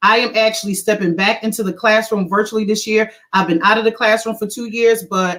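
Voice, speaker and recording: The speaker has a Philadelphia accent and fairly even intonation. The pace is fairly quick, with hardly any pauses. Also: woman, fairly high pitch for a woman. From Philadelphia, US. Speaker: educator. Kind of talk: video call panel presentation.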